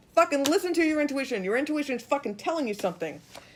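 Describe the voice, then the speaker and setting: This is a woman speaking. Her pitch sits high. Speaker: tarot reader. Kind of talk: live tarot reading. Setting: social media live stream. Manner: animated.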